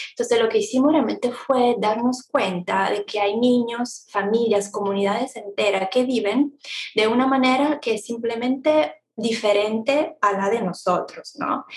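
A woman with an Italian accent talks at a fairly slow pace. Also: fairly high pitch for a woman, ordinary pitch variation. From Italy. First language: Italian (speaking Spanish). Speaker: travel blogger, economist, mother. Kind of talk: casual interview chat. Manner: hesitant, many fillers.

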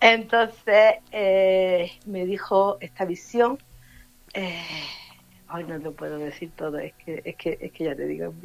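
This woman's loudness shifts in big swings. She talks at a very slow pace. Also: medium pitch for a woman, ordinary pitch variation. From Granada, Andalusia. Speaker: medium. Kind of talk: casual interview.

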